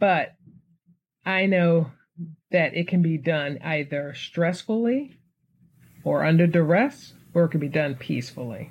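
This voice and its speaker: Fairly low, somewhat breathy female voice in an American accent, lively intonation, fairly slow pace and long, frequent pauses. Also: very clean recording, silent background. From Philadelphia, US. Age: 50s. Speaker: podcast host. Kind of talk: casual monologue.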